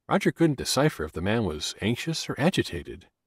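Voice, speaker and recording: On a very clean recording with a silent background, a man talks fairly quickly with vocal fry and very wide pitch swings. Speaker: audiobook narrator. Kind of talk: dramatic audiobook narration of a dark murder mystery, voicing characters' dialogue. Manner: suspenseful, building tension as the serial killer rumors unfold; shifts into distinct character voices for bar patrons' heated argument.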